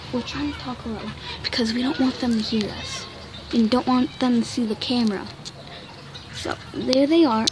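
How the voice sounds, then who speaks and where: A woman with a high voice speaks at a moderate pace with fairly even intonation and long, frequent pauses, in a dry sound with no echo and crowd noise behind her. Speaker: amateur vlogger. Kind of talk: casual vlog chat. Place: street. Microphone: phone near.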